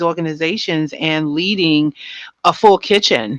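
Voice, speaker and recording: Heard against a quiet background in a dry, close recording with no echo, a woman has a plain, everyday voice, fairly low in pitch, with ordinary pitch variation. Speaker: podcast host. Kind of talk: podcast interview questions.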